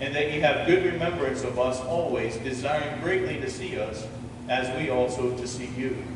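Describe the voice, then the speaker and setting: There is noticeable background noise and audible room echo. A man talks at a moderate pace. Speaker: pastor. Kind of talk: scripture reading in a sermon. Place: church.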